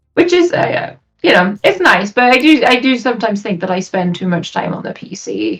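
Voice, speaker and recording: A woman speaks with a Welsh accent. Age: 20s. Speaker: streamer. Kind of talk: interview.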